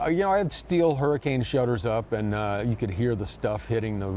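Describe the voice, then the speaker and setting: A man talks at a moderate pace, and noticeable background noise can be heard throughout. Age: 60s. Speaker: restaurant owner. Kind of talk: interview. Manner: halting.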